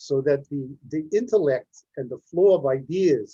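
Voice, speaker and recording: Somewhat breathy, a man speaks at a fairly slow pace with ordinary pitch variation. The sound is dry and close, with no echo. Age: 80s+. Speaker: panelist. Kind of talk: panel discussion.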